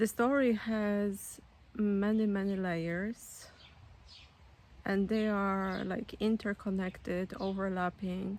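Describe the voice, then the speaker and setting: A woman with a Polish accent at medium pitch, monotone and flat in intonation, at a very slow pace. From Poland. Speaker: spiritual storyteller, author. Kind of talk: personal testimony. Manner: halting, many fillers.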